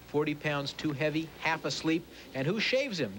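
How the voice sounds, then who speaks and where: The man has a normal speaking voice, fairly high in pitch, and he speaks at a moderate pace. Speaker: TV film critic. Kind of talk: TV movie review. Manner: sarcastic, jokey.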